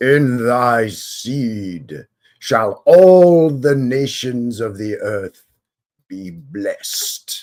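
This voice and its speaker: Putting on a character voice, a man speaks at a very slow pace with a solemn tone and a medium pitch. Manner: grandiose, solemn.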